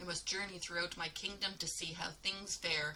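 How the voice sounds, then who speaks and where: A woman's put-on character voice, fairly low and monotone, at a moderate pace over clear background noise. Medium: read story.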